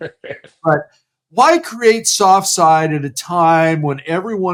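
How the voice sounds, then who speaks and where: A man's fairly high voice with very wide pitch swings, at a very slow pace. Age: 60s. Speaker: interview show host. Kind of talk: interview.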